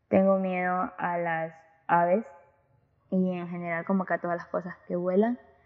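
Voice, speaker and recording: At a very slow pace, a woman talks with medium pitch. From Ecuador, Guayaquil. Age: young. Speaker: student podcaster. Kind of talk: casual monologue.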